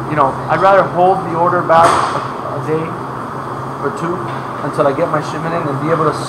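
The speech moves at a very fast pace. Loud background noise runs underneath. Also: man. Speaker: factory host. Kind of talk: interview answer. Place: factory. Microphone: camera far.

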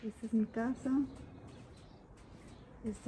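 A woman with a fairly high pitch and a dark, mellow tone speaks with little pitch movement.

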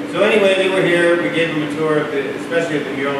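Loud background noise and audible room echo around a man's voice with ordinary pitch variation. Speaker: public speaker. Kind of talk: informal public remarks. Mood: light, joking. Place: hall.

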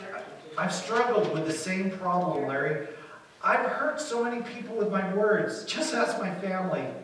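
Pitch shifts in an ordinary way. The text is read aloud in a natural voice.

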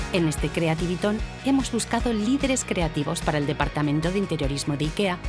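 A woman with a fairly low pitch talks at a fairly quick pace with lively intonation. Music plays in the background. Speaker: voice-over artist. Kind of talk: corporate narration.

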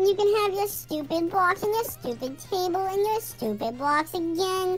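A woman speaks at a moderate pace in a put-on character voice, pitched extremely high. Background noise is clearly audible. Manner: mean, harsh, scolding.

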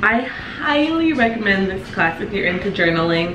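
A woman keeps a moderate pace while noticeable background noise sounds around her. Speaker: vlogger. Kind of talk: casual vlog chat, sponsor read. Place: kitchen. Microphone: camera far.

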